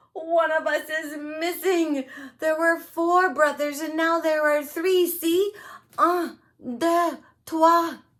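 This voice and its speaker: A put-on character voice, extremely high-pitched, at a very slow pace. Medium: read story.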